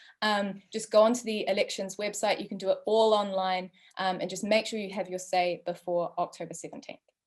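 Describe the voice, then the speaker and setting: A woman's medium-pitched voice with a New Zealand accent, a fairly quick pace, hardly any pauses, fairly even intonation and big swings in loudness. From New Zealand, West Auckland. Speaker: drugs researcher and event moderator. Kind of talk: moderated online panel introduction. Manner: hesitant, many fillers.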